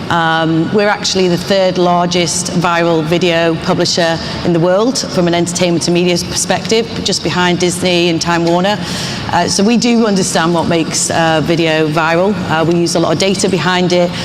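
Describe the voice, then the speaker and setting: A woman speaks at a moderate pace with hardly any pauses, in a fairly low pitch with monotone, flat intonation and very even loudness. Audible room echo and noticeable background noise surround her voice. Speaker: media company manager. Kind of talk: panel discussion. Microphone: mic problems at start.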